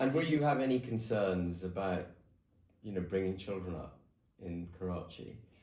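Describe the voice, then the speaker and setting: A man's very deep, low voice has a dark, mellow tone and is somewhat breathy. He moves at a moderate pace with lively intonation. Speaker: political commentator, show host. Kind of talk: interview questions, conversational.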